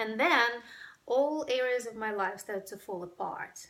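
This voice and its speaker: Speaking at a moderate pace, a woman with a Ukrainian accent has a bright, sharp tone. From Ukraine. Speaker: breathwork workshop facilitator. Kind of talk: personal testimony to camera.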